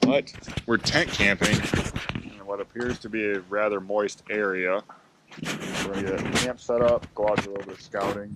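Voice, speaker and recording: A man talks at a fairly low pitch and moderate pace, with monotone, flat intonation. His loudness swings a lot over noticeable background noise. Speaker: fishing vlogger. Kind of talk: casual vlog narration. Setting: outdoors, on a boat.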